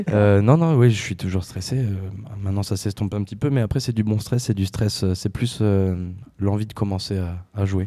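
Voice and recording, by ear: A man's fairly low, dark and mellow voice at a fairly quick pace, with few pauses and ordinary pitch variation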